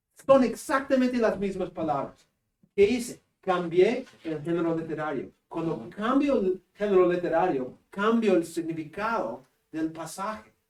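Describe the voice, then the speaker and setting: Speaking with a northern Peruvian accent, the voice moves at a fairly slow pace with lively intonation. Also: man, high pitch for a man. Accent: Spanish accent of northern Peru. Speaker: seminary professor. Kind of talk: lecture.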